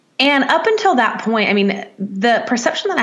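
A woman with a Southern US accent speaks over noticeable background noise. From US South, Nashville, Tennessee. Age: 30s. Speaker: life coach. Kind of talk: interview.

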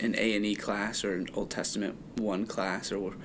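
A man's fairly low voice comes through at a moderate pace, with noticeable background noise behind him. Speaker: podcast host. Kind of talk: casual chat.

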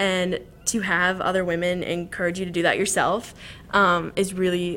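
A woman with an American accent talks at a moderate pace, her medium-pitched voice carrying vocal fry, a bright, sharp tone and fairly even intonation. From Southern Illinois. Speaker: university student. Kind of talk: casual interview.

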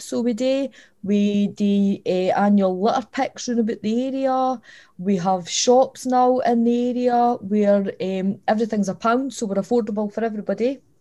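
A woman's fairly high voice in a southern Scottish accent, dark and mellow in tone, with ordinary pitch variation and a fairly slow pace. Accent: southern Scottish (Dumfries). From Scotland, Dumfries (Lockside). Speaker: community organisation director. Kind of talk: casual interview.

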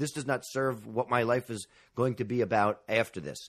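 A man with an American accent at a moderate pace, with ordinary pitch variation and a quiet background. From New York City. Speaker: podcast host. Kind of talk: interview about grief. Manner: halting.

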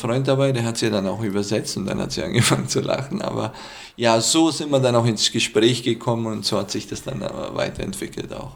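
A man with a Middle Eastern accent talks at a fairly quick pace, with medium pitch and ordinary pitch variation. The recording has audible room echo and noticeable background noise. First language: Aramaic (speaking German). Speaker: hotel owner and former IT manager. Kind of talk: casual interview. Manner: halting, many fillers.

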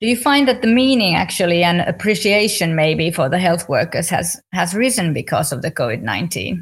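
A woman with a Finnish accent and a fairly low pitch talks at a fairly quick pace, somewhat breathy, with very wide pitch swings and hardly any pauses. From Finland. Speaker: podcast host. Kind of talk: interview.

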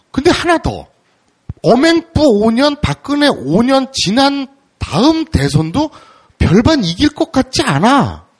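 A man speaks at a very slow pace in an extremely high pitch, with lively intonation. The sound is dry and close, with no echo. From Seoul, South Korea. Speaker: podcast interviewer. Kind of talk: interview.

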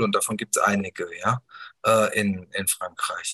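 A man's voice in a dry, close sound with no echo. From Germany, Bergisches Land (Wuppertal). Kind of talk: interview. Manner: halting, many fillers and restarts.

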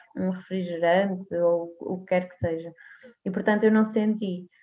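A woman's voice at a medium pitch. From Portugal, Póvoa de Varzim. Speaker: nutritionist. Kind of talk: interview. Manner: halting, many fillers.

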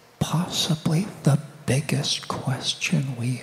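There is noticeable noise in the background. Over it, someone whispers. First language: English (speaking Portuguese). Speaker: guest preacher and author. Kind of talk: sermon. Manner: soft-spoken.

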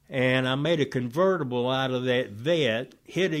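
On a very clean recording with a silent background, a man with a Georgia accent speaks at a fairly slow pace with ordinary pitch variation. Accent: Southern American (Georgia). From US South (Oxford, Georgia). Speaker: Vietnam war veteran. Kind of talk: testimony.

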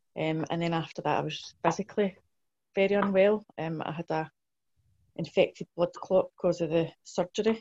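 A woman's fairly low, dark, mellow voice in a west of Scotland accent, with fairly even intonation and a dry, close sound with no echo. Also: moderate pace. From Scotland, South Lanarkshire (Blantyre). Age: 40s. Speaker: mental health nurse. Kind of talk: oral history interview. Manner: hesitant, many fillers.

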